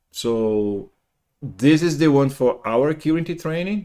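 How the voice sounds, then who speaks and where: With a Brazilian Portuguese accent, a man with a dark, mellow tone speaks at a fairly slow pace and with lively intonation in a very clean recording with a silent background. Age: 50s. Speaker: programming teacher. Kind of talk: lecture. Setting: live stream. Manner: halting.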